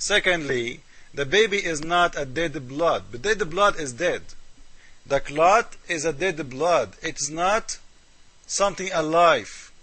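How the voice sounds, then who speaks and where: In an Arabic accent, a man speaks very slowly at a high pitch with ordinary pitch variation. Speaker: religious critic video maker. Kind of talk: polemical commentary. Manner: animated.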